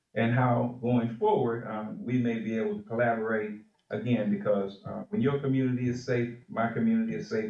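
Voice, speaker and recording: With an American accent, a man speaks at a medium pitch and a fairly quick pace, making very wide pitch swings. Audible room echo surrounds his voice. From Cleveland, Ohio. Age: 60s. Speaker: civil rights organization president. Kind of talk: public address to city council. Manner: hesitant fillers.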